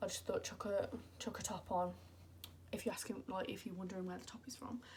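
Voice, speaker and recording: A woman's somewhat breathy voice moves through ordinary pitch variation. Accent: British. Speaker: beauty vlogger. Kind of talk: casual chat. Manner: animated.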